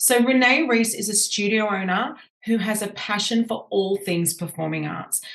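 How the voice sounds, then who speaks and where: A woman with an Australian accent, animated in tone, medium-pitched with ordinary pitch variation, at a moderate pace over noticeable background noise. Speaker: podcast host and business coach. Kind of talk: podcast interview.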